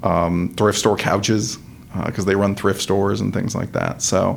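This man has an ordinary speaking voice, pitched fairly low. His intonation stays fairly even. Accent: American. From Georgia, US (from age 11). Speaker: personal injury lawyer. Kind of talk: casual interview chat.

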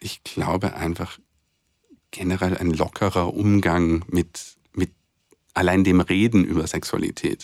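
The voice is fairly slow and monotone, with flat intonation, long and frequent pauses, and a dry, close sound with no echo. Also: man, very deep, low pitch for a man. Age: 30s. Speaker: co-host, author and HIV activist. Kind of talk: personal testimony in interview. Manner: halting, many fillers and repetitions.

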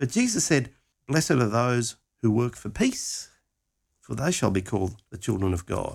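Using an animated tone and lively intonation, a man with a medium pitch talks at a moderate pace with long, frequent pauses, in a very clean recording with a silent background. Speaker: Bible teacher. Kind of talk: teaching talk. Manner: animated, conversational.

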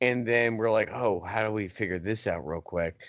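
A man with an ordinary speaking voice talks at a medium pitch and fairly quick pace. His intonation is lively, and the background is quiet. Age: 30s. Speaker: podcast co-host. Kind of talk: casual chat.

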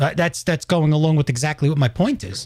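The voice carries a New York accent. It moves at a fairly quick pace. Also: man. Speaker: podcast host. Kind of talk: casual chat. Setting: live stream.

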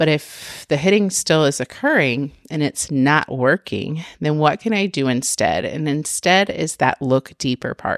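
A woman's very deep, low voice at a very slow pace, with lively intonation. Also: dry, close sound with no echo. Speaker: preschool teacher and podcast host. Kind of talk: solo podcast monologue. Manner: conversational, frequent fillers.

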